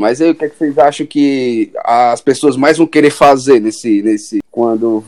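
Recorded with a dry, close sound and no echo, a man speaks in an unremarkable speaking voice at a fairly slow pace with ordinary pitch variation. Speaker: podcast host, journalism student. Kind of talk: casual chat.

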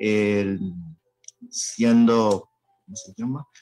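A man talks with a fairly low pitch. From Haiti. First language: Haitian Creole or French (speaking Spanish). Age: young. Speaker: student and language teacher. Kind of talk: radio panel discussion.

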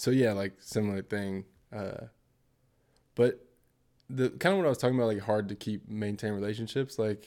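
A man with an American accent, fairly low in pitch with a dark, mellow tone and ordinary pitch variation, at a moderate pace with long, frequent pauses, in a very clean recording with a silent background. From Portland, Oregon, US. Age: 30s. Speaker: marketing professional. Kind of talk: casual chat.

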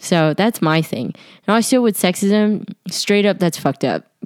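A woman speaks in an animated tone with lively intonation at a moderate pace, the sound dry and close with no echo. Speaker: student podcaster. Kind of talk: casual monologue. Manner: loud.

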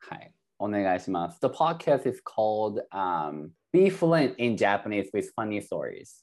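A man with lively intonation at a very slow pace, against a quiet background. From Japan. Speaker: Japanese teacher and podcaster. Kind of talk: bilingual casual chat.

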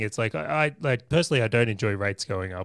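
In a very clean recording with a silent background and a dry, close sound without echo, a man speaks at a medium pitch with lively intonation. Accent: Australian. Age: 30s. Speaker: property investor and business owner. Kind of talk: podcast interview.

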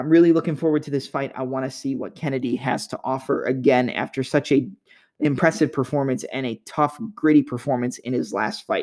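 Very clean recording with a silent background, a plain, everyday voice moving fairly quickly with ordinary pitch variation. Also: man, fairly high pitch for a man. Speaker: podcast host. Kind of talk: MMA fight preview and analysis monologue.

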